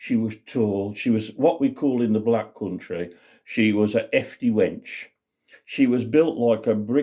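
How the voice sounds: A natural reading voice comes through over a quiet background.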